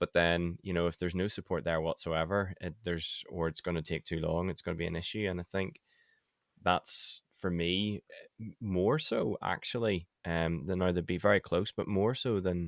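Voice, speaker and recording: A man with a Northern Irish accent talks in a very deep, low pitch with fairly even intonation. The very clean recording has a silent background and a dry, close sound with no echo. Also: moderate pace. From Northern Ireland. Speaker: website designer and email marketing expert. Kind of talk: casual interview chat.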